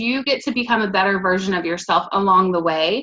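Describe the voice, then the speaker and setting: Her tone is bright and sharp, her intonation lively. The woman keeps a moderate pace. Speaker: network marketing team leader. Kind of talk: live video team training talk. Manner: reading from notes.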